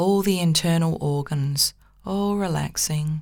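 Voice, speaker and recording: In a very clean recording with a silent background, a woman uses a soothing, gentle tone, somewhat breathy, with a very deep, low pitch and fairly even intonation. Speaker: psychotherapist and spiritual teacher. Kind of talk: guided meditation. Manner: slow, soft, soothing, hypnotic; gentle, calm, measured.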